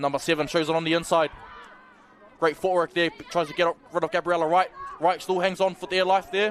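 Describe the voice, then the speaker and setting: A man with a strong New Zealand accent talks fairly quickly at a high pitch, with noticeable background noise. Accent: thick New Zealand. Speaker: rugby league commentator. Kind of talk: live commentary. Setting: commentary booth. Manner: animated.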